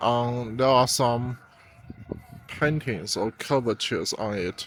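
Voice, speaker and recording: Speaking at a very slow pace, a man talks with a Chinese accent. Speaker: travel vlogger. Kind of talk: walking tour vlog. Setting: outdoors. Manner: halting, many fillers and repeats.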